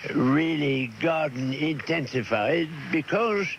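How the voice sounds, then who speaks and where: A man speaks with a fairly high pitch. Noticeable background noise runs underneath. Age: 80s+. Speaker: gardener. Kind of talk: interview answer. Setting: radio broadcast, cassette recording.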